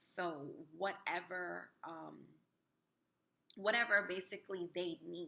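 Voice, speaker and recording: Bright and sharp in tone, a woman speaks at a fairly low pitch with vocal fry and fairly even intonation. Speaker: spirituality vlogger. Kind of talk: casual vlog talk. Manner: hesitant, many fillers.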